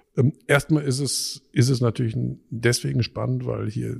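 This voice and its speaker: A man talks in a somewhat breathy voice. The sound is dry and close, with no echo. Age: 50s. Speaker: physicist and university president. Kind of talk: interview. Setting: office with strong echo. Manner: halting.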